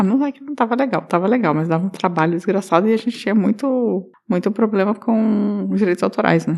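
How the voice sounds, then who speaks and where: A soft-spoken, mumbling woman at medium pitch with ordinary pitch variation, a fairly quick pace and hardly any pauses. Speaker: podcast co-host. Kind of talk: casual chat. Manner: mumbling, speaks inward.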